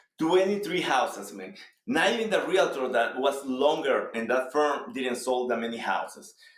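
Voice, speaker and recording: Fairly high-pitched man with a Salvadoran accent, animated in tone, his pitch swinging very widely. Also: moderate pace. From El Salvador. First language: Spanish. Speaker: real estate agent. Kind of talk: interview.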